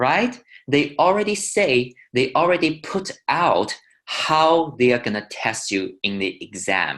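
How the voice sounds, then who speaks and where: A man with a Chinese accent talks at a fairly slow pace. His voice shows vocal fry and very wide pitch swings. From China. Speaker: wine educator. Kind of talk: webinar tutorial.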